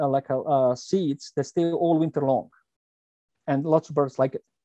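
The sound is dry and close, with no echo. A man speaks in a dark, mellow tone.

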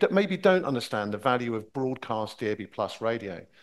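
The man talks fairly quickly, and the background is quiet. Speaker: radio industry executive. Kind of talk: conference presentation. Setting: stage with audience. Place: hall.

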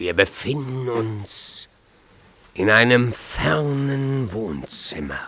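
A man's put-on character voice at a very slow pace. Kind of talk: mock-solemn storytelling.

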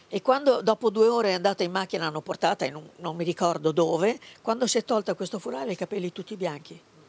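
Very fast and lively in intonation, a woman's medium-pitched voice comes through with a dry, close sound and no echo. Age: 80s+. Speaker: granddaughter of a labour activist. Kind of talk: interview. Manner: halting.

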